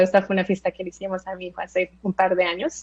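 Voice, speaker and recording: A woman with an American accent, medium pitch, and a fairly quick pace. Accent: Spanish shaped by US upbringing. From Colombia (Bogotá) then South Florida from age 8. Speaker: tech designer and speaker. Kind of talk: presentation talk. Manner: hesitant, frequent fillers.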